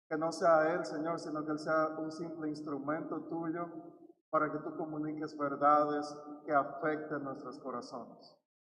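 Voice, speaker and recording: A man talks at a fairly slow pace in a monotone, flat intonation, his pitch fairly high. There is audible room echo around him. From Dominican Republic. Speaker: pastor. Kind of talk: prayer; service announcement. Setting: church.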